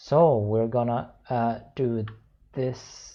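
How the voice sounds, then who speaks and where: With a Swedish accent, a man speaks at medium pitch in a dark, mellow tone that is somewhat breathy. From Sweden. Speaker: software developer. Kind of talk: screencast tutorial. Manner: halting, many fillers.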